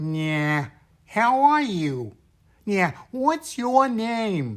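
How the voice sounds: A nasal, put-on character voice with a fairly high pitch. It moves at a very slow pace, with very wide pitch swings.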